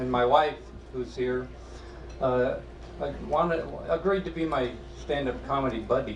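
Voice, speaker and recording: Amid noticeable background noise and audible room echo, a man with an American accent talks at a moderate pace, leaving long, frequent pauses. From Iowa. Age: 70s. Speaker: amateur stand-up comedian. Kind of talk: stand-up. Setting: stage with audience. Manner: halting.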